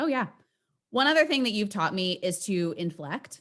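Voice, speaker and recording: On a very clean recording with a silent background, a woman talks at a medium pitch with lively intonation. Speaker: podcast host and sales coach. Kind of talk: casual interview chat. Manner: bouncy, inflected delivery.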